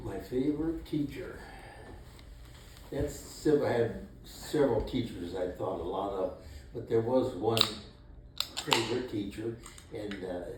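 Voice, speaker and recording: Over noticeable background noise, a man with a Midwestern accent speaks at a medium pitch and a fairly slow pace, with lively intonation and long, frequent pauses. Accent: American Midwest. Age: 80s+. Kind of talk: interview answer. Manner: hesitant, slow.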